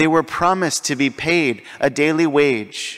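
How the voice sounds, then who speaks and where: The background stays quiet. A man talks fairly slowly. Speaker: priest. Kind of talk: sermon. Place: church. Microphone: podium.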